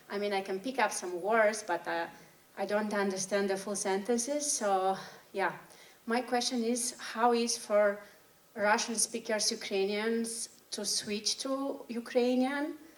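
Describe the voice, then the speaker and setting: With noticeable background noise, a woman speaks at a fairly slow pace in a fairly high pitch and fairly even intonation. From Moldova. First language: Romanian. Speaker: audience member. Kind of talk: audience question.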